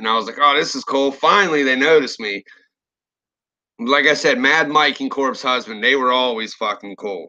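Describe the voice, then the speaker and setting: Fairly high for a man, this voice has a bright, sharp tone. He keeps a moderate pace with ordinary pitch variation. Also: quiet background. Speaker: horror story narrator and YouTuber. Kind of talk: live stream rant. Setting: live stream. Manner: casual, profane.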